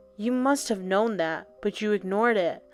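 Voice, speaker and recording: A woman's put-on character voice, growling at a moderate pace over music in the background. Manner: accusing, angry.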